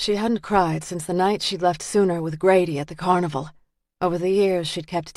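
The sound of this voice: Quiet background behind an unforced reading voice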